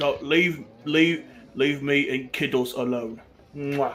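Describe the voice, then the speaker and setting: At a fairly slow pace, a man uses a gruff, put-on character voice, fairly high in pitch, with fairly even intonation. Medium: actual play. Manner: gruff and quick to flare, then sorry.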